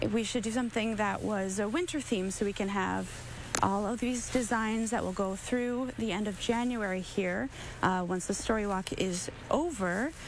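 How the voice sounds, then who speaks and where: A woman speaks at a moderate pace with ordinary pitch variation, in a dry sound with no echo and light background noise. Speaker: guest. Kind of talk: interview answer. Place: street.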